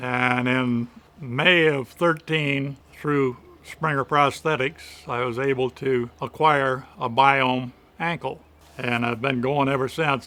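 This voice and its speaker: In a Midwestern American accent, a man talks at a very slow pace with a medium pitch and monotone, flat intonation. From Michigan. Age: 70s. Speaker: retiree, amputee patient. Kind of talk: interview answer.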